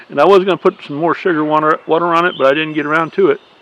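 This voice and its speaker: With a Southern US accent, a man talks over noticeable background noise. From US South. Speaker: beekeeper. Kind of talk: casual video update. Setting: outdoors. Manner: halting.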